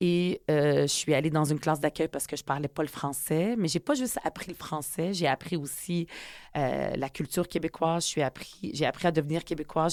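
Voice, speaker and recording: In a very clean recording with a silent background and a dry, close sound with no echo, a woman speaks at a moderate pace with a fairly low pitch. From Quebec (Montreal, from age 10; born in UAE). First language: Arabic (speaking French). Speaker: politician and author. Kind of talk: interview. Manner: hesitant with many fillers.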